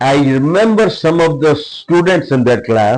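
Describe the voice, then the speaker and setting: A man's voice with ordinary pitch variation. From India, Punjab (Hoshiarpur district). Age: 70s. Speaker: former corporate executive, school leader. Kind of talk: interview. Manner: halting, with many fillers.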